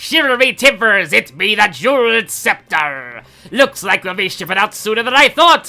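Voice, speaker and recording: Moderate pace and fairly high pitch in a put-on character voice. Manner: playful, growly.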